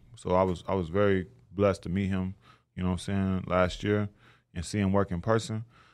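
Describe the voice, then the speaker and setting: Against a quiet background, a man with an American accent and a very deep, low pitch talks fairly quickly in a monotone, flat delivery. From Tulsa, Oklahoma. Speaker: professional boxer. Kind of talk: casual interview.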